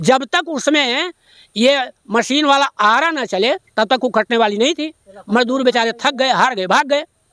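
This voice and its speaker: The voice is raised and projected, with a bright, sharp tone. The sound is dry and close, with no echo. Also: man. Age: 70s. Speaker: retired headmaster, local villager. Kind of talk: on-the-spot news interview. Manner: formal.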